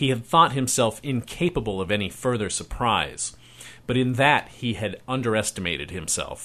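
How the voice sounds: The reading voice sounds natural. Pitch moves in an ordinary way.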